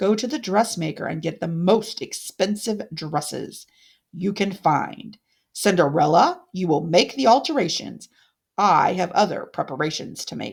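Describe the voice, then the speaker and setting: A put-on character voice speaks at a middle pitch and a moderate pace. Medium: read story. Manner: imperious, scheming.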